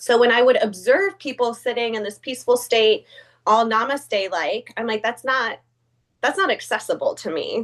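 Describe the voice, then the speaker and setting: Against a quiet background, a woman speaks with high pitch. Her pace is moderate and her intonation lively. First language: not English. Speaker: yoga teacher in sobriety recovery. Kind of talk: talk on a group wellness call. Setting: video call. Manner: casual, with many fillers.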